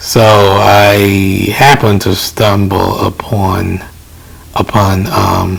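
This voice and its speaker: A soft-spoken man at a fairly low pitch and very slow pace, with long, frequent pauses and noticeable background noise. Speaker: DJ and tech reviewer. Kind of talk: casual tech impressions to camera. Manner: hesitant, many filler words.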